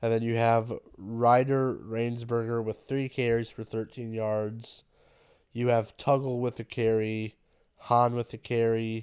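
A man with an American accent speaks at a very slow pace in a medium pitch, his intonation monotone and flat, on a very clean recording with a silent background. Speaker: high school sports podcaster. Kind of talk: sports recap monologue. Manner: halting, many fillers.

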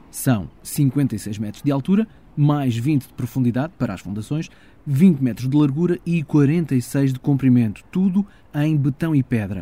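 With a European Portuguese accent, a man speaks fairly slowly at a fairly high pitch, his dark, mellow tone somewhat breathy and his intonation lively. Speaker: podcast host. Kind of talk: scripted narration.

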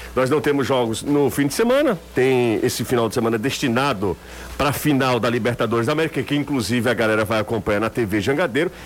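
A man speaks at a very fast pace and a medium pitch, with ordinary pitch variation. His loudness stays very even over noticeable background noise. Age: 30s. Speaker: sports radio host. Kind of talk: sports talk radio.

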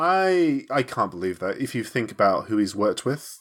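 In a British accent, the speaker uses an animated tone and lively intonation. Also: man. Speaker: podcast co-host. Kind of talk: casual banter podcast. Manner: joking, animated.

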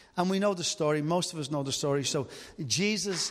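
A man's pitch varies in an ordinary way. The background is silent, and the recording is very clean. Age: 50s. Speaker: preacher. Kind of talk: sermon.

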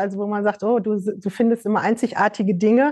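A woman speaks at a fairly high pitch in a dark, mellow tone. Her intonation is fairly even, and the background is quiet. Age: 50s. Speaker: fashion label founder. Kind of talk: casual chat.

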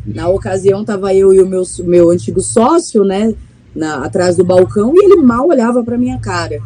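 There is noticeable background noise as a woman speaks at a moderate pace. Her medium pitch makes very wide swings. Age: 30s. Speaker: bar owner and beer sommelier. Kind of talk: interview.

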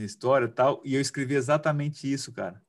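An ordinary speaking voice from a man at medium pitch, on a very clean recording with a silent background. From Cuiabá, Brazil. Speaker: futsal player and podcast host. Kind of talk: interview.

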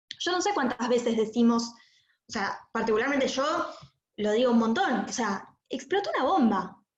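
Lively in intonation, a woman with a high voice speaks at a moderate pace amid audible room echo. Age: 20s. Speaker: relative of a terror attack victim. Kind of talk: testimony. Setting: video call.

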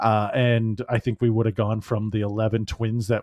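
At a fairly quick pace, a man talks with a normal speaking voice and a medium pitch. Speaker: podcast co-host. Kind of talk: casual interview chat.

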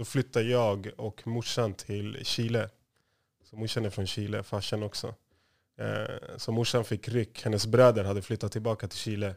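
At a moderate pace, a man with a fairly low pitch speaks in a monotone, flat intonation with big swings in loudness, in a very clean recording with a silent background. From Stockholm area, Sweden (Järfälla). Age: 30s. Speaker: music industry manager. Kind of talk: interview.

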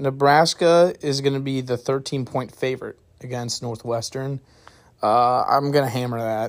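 With a plain, everyday voice and an American accent, a man talks at a moderate pace in fairly even intonation. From St. Louis area, US Midwest. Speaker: sports podcast host. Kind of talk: casual sports picks monologue. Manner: casual, filler-heavy.

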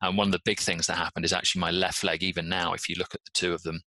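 A man's very deep, low voice in a British accent, bright and sharp in tone, with monotone, flat intonation and a dry, close sound with no echo. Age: 40s. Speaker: patient advocate and endurance athlete. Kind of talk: interview.

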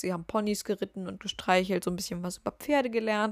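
The woman's intonation is fairly even. Her sound is dry and close, with no echo. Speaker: podcast host. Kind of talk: casual monologue. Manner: rambling, filler-heavy.

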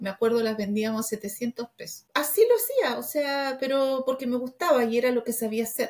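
A woman speaks at a moderate pace with hardly any pauses. Her pitch is high, with ordinary pitch variation. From Argentina, raised in Chile from age 12. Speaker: entrepreneur, confectionery business founder. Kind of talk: interview. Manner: halting, many repetitions.

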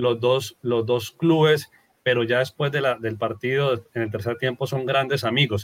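A man with a medium pitch and a plain, everyday voice. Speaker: podcast host. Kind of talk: interview.

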